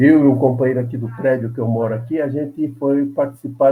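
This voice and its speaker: A man's voice at a moderate pace. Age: 80s+. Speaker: veteran labor activist, former congressman. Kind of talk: interview.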